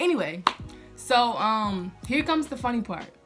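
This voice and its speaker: Music plays in the background as a woman speaks with an American accent. Her pace is moderate and her intonation lively. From Louisiana, USA. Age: 20s. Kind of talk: casual storytime talk to camera.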